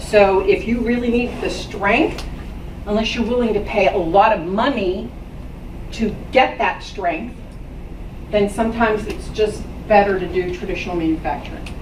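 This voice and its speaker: A woman talks at a moderate pace with long, frequent pauses, with audible room echo and noticeable background noise. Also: medium pitch for a woman, ordinary pitch variation. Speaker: business owner giving a talk to students. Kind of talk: talk to a school class. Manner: loud.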